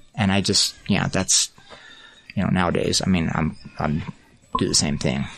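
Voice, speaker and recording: Noticeable background noise, a moderate pace, ordinary pitch variation, long and frequent pauses, and very even loudness. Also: man, very deep, low pitch for a man. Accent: American. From small-town Utah. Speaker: artist. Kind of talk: interview.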